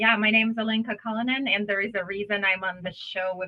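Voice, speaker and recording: A woman's medium-pitched voice with an Eastern European accent, at a fairly quick pace. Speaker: business consultant. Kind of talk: podcast interview.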